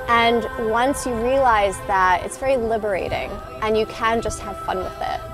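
Clear background music under a woman's dry voice, with no echo. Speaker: sea kayak coach. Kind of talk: interview answer. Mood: warm, upbeat, encouraging. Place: waterside. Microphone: lapel.

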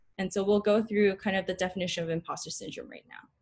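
Against a quiet background, a woman with an American accent sounds somewhat breathy. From Northern California, Bay Area; Northern California. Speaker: dental student; presenter. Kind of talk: student lecture presentation. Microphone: webcam.

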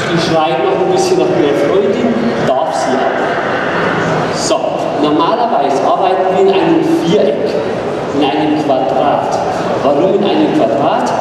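The speaker talks at a fairly slow pace with long, frequent pauses. Loud background noise and audible room echo fill the recording. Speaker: horse trainer presenting. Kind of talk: live demonstration commentary. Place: hall.

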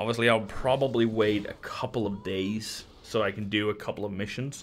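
A man speaks at a moderate pace in a fairly low voice. His intonation is monotone and flat. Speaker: gaming video creator. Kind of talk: casual talk to camera.

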